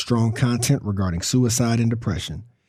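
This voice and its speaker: On a very clean recording with a silent background, a man speaks at a medium pitch. His somewhat breathy, dark, mellow tone keeps a moderate pace and ordinary pitch variation. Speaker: podcast host. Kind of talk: podcast narration.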